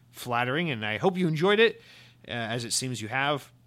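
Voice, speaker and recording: With an American accent, this speaker talks at a very fast pace. The tone is bright and sharp. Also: man. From US South, Georgia. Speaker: podcast host. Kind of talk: casual chat. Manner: animated.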